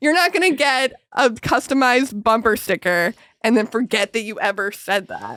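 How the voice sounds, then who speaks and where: Loud and bright with a sharp tone, a woman speaks at a moderate pace in a fairly high voice with lively intonation. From Alberta, Canada. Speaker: comedy podcast host. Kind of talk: casual chat.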